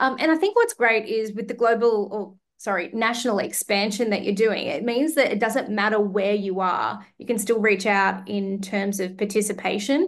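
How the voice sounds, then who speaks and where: A woman with an Australian accent speaks at a moderate pace and fairly high pitch, with ordinary pitch variation and hardly any pauses. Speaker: podcast host. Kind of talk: podcast interview.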